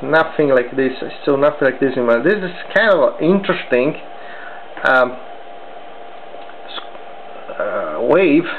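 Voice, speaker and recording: Fairly slow speech broken by long, frequent pauses, over noticeable background noise. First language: not English. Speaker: electronics hobbyist. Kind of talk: tutorial. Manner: halting.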